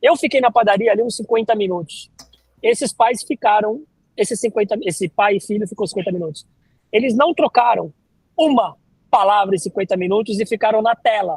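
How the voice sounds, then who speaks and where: A man's fairly high-pitched, animated voice at a fairly quick pace, with ordinary pitch variation and a dry, close sound with no echo. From Brazil, Santos (São Paulo coast). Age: 40s. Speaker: neuroscience lecturer and corporate trainer. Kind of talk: podcast interview. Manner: casual, animated.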